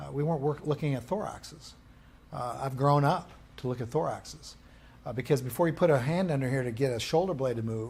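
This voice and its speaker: A man talks at a very fast pace, somewhat breathy. His pitch is medium and varies in an ordinary way. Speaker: rehabilitation course instructor. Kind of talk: lecture.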